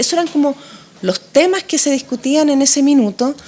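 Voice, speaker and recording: Over noticeable background noise, a woman with a high pitch talks at a fairly quick pace. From Chile. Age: 40s. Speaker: political candidate. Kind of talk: interview.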